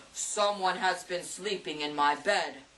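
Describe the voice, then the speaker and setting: A female-sounding, put-on character voice booms at a middle pitch, gruff and growling. The pace is fairly slow. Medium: read story. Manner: roaring.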